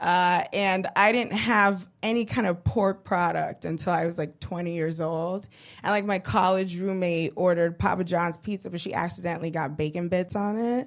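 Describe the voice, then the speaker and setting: A woman talks at a moderate pace with hardly any pauses, in a medium pitch with ordinary pitch variation. She has a plain, everyday voice and an American accent. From Brooklyn, New York (East New York). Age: 20s. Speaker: stand-up comedian. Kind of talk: stand-up. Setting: stage with audience.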